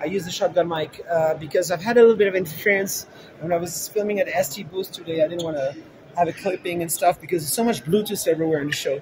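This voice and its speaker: A man speaks with a high pitch and ordinary pitch variation, his loudness swinging widely over noticeable background noise. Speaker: tech livestreamer. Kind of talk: casual vlog chat. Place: hall. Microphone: handheld.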